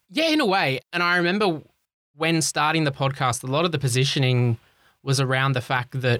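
A man with an Australian accent has a medium-pitched voice and a bright, sharp tone. He talks at a fairly quick pace with ordinary pitch variation on a very clean recording with a silent background. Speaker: health tech podcaster and CEO. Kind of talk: casual interview.

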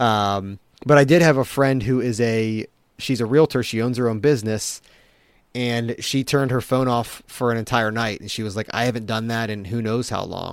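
A man speaks at a moderate pace with an American accent, his medium-pitched, ordinary speaking voice holding a fairly even intonation on a very clean recording with a silent background. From Maryland, US. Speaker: tech culture blogger. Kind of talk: casual chat.

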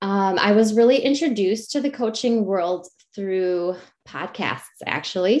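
A woman with an American accent speaks at a moderate pace in an ordinary speaking voice, medium in pitch, with lively intonation. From Wisconsin, rural US Midwest. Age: 40s. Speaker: success coach, former teacher. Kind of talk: interview.

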